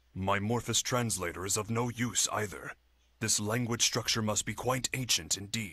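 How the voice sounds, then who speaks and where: Against a quiet background, a man does a put-on character voice at a medium pitch and a moderate pace. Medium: video game. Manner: formal, precise.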